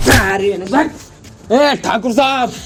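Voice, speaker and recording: A man speaks in a put-on character voice at an extremely high pitch, with ordinary pitch variation. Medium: comedy sketch.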